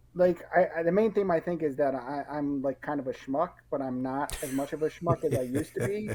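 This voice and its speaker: Someone with an American accent talks at a fairly quick pace, hardly pausing at all. Noticeable background noise runs beneath the speech. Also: man, fairly high pitch for a man, ordinary pitch variation. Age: young. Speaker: writer and stay-at-home dad. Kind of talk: casual interview. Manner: halting, many false starts.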